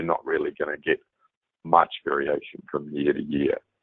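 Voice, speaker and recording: This is a man speaking with a New Zealand accent. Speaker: software product manager. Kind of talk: presentation.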